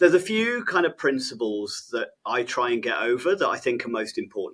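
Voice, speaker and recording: Speaking with an English accent, a man with a fairly high pitch moves at a fairly quick pace, his voice making very wide pitch swings. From England. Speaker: behaviour specialist and trainer. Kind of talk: podcast interview. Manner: hesitant, many fillers.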